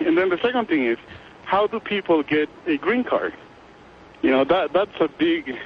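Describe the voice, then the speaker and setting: Very wide pitch swings run through the voice, heard over noticeable background noise. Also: man. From Guatemala. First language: Spanish. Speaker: caller. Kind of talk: phone-in argument. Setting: phone call.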